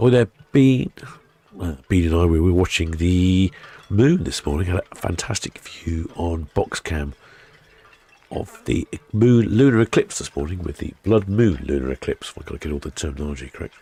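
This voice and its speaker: Lively intonation and big swings in loudness in a southern English accent, at a moderate pace, with a dry, close sound and no echo. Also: man, very deep, low pitch for a man. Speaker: live stream ship-watching host. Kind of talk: live stream chat. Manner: casual, chatty.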